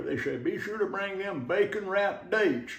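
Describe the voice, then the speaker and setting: Over background music, a man with a Southern US accent talks at a fairly quick pace in a high voice. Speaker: Southern humorist, storyteller. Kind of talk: casual cooking demonstration to camera.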